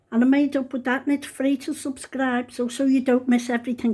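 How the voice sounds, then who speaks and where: A woman with a Liverpool accent talks at a fairly quick pace. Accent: Scouse. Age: 70s. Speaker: home cook vlogger. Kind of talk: cooking tutorial. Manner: chatty.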